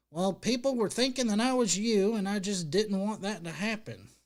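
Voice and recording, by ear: Using a put-on character voice, a man pitches himself high. His pace is moderate.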